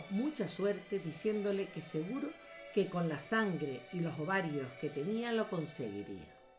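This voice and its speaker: Against music in the background, a woman talks at a medium pitch and a fairly slow pace. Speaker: writer who recites her own work. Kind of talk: narrative story reading.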